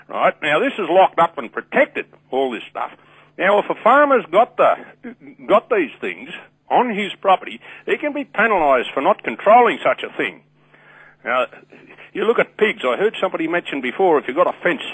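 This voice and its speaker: The sound is dry and close with no echo. Speech runs at a fairly quick pace with very wide pitch swings. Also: man, high pitch for a man. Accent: strong Australian. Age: 60s. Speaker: caller. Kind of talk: radio call-in. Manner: animated.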